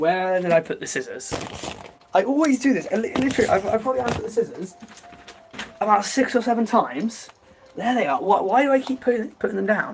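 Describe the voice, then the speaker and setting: Very fast speech with an English accent, broken by long, frequent pauses. The intonation is lively, and noticeable background noise runs underneath. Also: man, extremely high pitch for a man. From England. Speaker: YouTuber livestreaming. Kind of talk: casual livestream chat. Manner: halting, filler-heavy.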